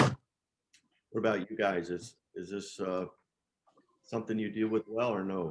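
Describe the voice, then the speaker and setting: Speaking in a fairly low voice at a moderate pace, a man keeps his intonation fairly even and takes long, frequent pauses. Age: 50s. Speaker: marriage course group leader. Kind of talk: small group discussion. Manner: halting.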